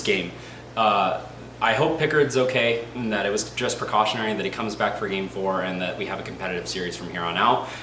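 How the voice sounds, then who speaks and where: Over noticeable background noise and audible room echo, a man talks at a fairly low pitch with ordinary pitch variation. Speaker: hockey fan youtuber. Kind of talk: casual commentary monologue. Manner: fast; animated.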